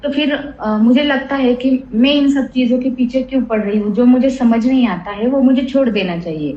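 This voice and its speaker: There is noticeable background noise as a woman speaks with a high pitch and ordinary pitch variation. She keeps a moderate pace with hardly any pauses. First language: Marathi (speaking Hindi). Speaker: spiritual seeker asking question. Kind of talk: satsang Q&A. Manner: halting.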